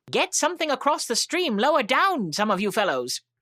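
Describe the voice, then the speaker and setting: A man puts on a character voice, extremely high in pitch. He talks at a fairly quick pace in a very clean recording with a silent background. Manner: urgent, calling out.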